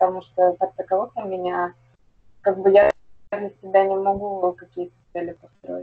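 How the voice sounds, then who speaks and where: At a moderate pace, the speaker uses a monotone, flat intonation with big swings in loudness and long, frequent pauses. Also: woman, medium pitch for a woman. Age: 20s. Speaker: construction company manager. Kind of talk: coaching session participant. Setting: video call. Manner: halting.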